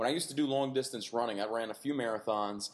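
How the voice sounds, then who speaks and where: Here a man talks at a very fast pace. His medium-pitched voice has an animated tone. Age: 30s. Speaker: fitness podcast host. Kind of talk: casual chat.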